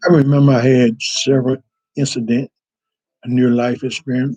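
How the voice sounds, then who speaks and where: The dark, mellow voice moves at a moderate pace with fairly even intonation, recorded with a dry, close sound and no echo. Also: man. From North Carolina, Northampton County. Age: 60s. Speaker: church member telling life story. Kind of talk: personal testimony. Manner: halting, with self-corrections.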